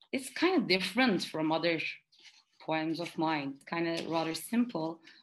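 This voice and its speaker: A woman is speaking. She has a Turkish accent. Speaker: poet and graduate student. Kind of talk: interview. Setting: video call.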